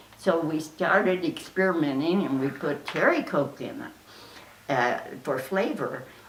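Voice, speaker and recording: An American accent comes through at a fairly slow pace with lively intonation, over noticeable background noise and audible room echo. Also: woman, fairly low pitch for a woman. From Oklahoma. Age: 80s+. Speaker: interviewee, relative of a famous entertainer. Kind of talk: interview reminiscence. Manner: halting, many fillers.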